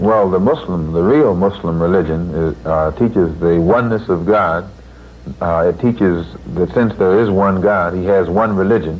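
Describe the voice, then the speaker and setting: Noticeable background noise sits behind a man with an American accent. His pitch is very deep and low, with ordinary pitch variation. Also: moderate pace. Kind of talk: interview answer. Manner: emphatic.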